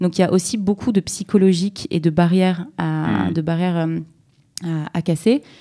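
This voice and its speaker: At a moderate pace, a woman speaks in a dark, mellow tone at a fairly low pitch against a quiet background. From southern France, Nice; France. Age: young. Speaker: startup co-founder; guest. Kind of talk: interview. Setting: studio. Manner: halting. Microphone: far from the mic; studio mic.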